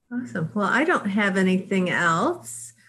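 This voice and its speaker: Over a quiet background, a woman speaks very slowly with vocal fry and very wide pitch swings. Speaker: livestream co-host. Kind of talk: casual interview. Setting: video call. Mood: friendly, appreciative. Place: home room. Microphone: video call.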